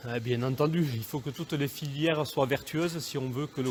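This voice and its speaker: Medium in pitch, a man speaks at a moderate pace. His intonation is fairly even. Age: 40s. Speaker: goat farmer. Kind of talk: interview. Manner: hesitant, many fillers.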